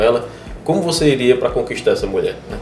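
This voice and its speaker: A man races along at a very fast pace, with audible room echo and noticeable background noise. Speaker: podcast host and real estate broker. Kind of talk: casual interview chat.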